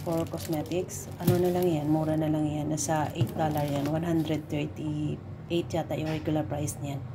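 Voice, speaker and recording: A woman's very deep, low voice at a moderate pace with hardly any pauses, amid audible room echo. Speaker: vlogger. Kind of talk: casual unboxing vlog. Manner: halting, many fillers.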